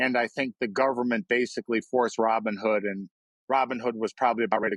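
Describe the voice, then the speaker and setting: A man at a medium pitch talking very fast, the sound dry and close with no echo. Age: 60s. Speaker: investor and short seller. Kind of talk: podcast interview. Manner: blunt, animated.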